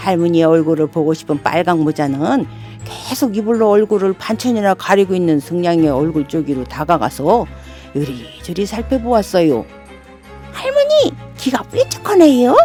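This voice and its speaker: With music in the background, a woman of fairly low pitch talks at a moderate pace, her pitch swinging very widely. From Daejeon, Chungcheong region, Korea. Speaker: non-professional local native speaker. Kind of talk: children's fairy tale reading. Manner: warm, friendly.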